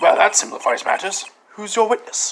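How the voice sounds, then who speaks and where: A man speaks at a moderate pace in a put-on character voice. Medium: game stream. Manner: formal, smug.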